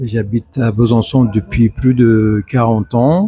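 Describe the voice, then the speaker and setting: A man at medium pitch and a very slow pace, with fairly even intonation, a dry, close sound with no echo, and music in the background. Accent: Persian. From Iran. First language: Persian (speaking French). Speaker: retired hospital worker and court interpreter. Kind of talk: interview. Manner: hesitant, many fillers.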